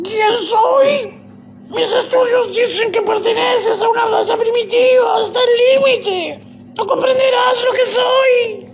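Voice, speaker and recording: Over loud background music, a woman puts on a character voice at an extremely high pitch, speaking fairly slowly. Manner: proud, then frightened and pleading.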